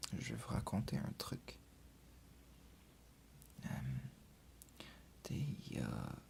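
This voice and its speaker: A man whispering at a very slow pace, with long, frequent pauses. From Quebec, Canada. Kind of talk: ASMR video. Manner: whispered, soft-spoken.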